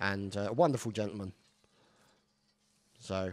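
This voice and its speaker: A man speaks with a British accent. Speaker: gameplay commentator. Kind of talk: live game commentary.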